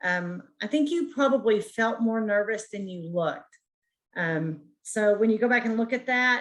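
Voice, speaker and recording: Here is an unremarkable speaking voice from a woman, fairly high in pitch. She moves at a moderate pace with lively intonation. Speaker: counseling student. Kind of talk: peer review feedback. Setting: video call.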